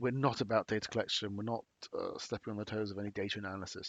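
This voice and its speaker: A man talks with a British accent. His intonation is monotone and flat. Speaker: company presenter. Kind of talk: webinar presentation. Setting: online webinar. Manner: halting, many fillers.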